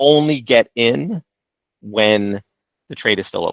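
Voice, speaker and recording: A man's ordinary speaking voice at medium pitch with ordinary pitch variation, in a dry, close sound with no echo and a quiet background. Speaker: trading software trainer. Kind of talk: live training webinar.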